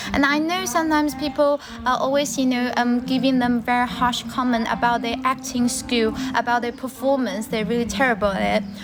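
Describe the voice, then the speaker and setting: Over music in the background, a woman with a Chinese accent talks at a fairly quick pace in a high pitch with fairly even intonation. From China. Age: young. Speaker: livestreamer. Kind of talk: casual livestream chat.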